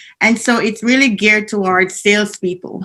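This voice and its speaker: A woman with a Jamaican accent speaks at a fairly quick pace with fairly even intonation. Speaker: business analyst trainer. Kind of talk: conference presentation. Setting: video call from home basement.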